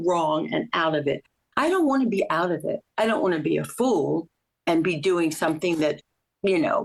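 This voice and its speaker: Her intonation is lively, with vocal fry at a medium pitch. The woman keeps a moderate pace and very even loudness. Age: 80s+. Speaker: Pilates student. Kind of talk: casual chat.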